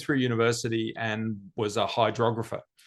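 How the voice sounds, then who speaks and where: A man speaks in an Australian accent. His voice sits at a medium pitch. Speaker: business executive. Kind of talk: interview.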